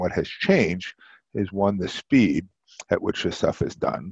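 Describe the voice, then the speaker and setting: A man speaks in an ordinary speaking voice at fairly low pitch. His pace is moderate, and the sound is dry and close with no echo. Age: 60s. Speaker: marketing professor and former executive. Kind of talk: interview.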